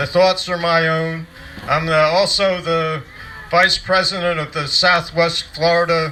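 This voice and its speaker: There is noticeable background noise behind this man. His voice is high-pitched, with monotone, flat intonation. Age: old. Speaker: retired union official. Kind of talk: rally speech. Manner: halting.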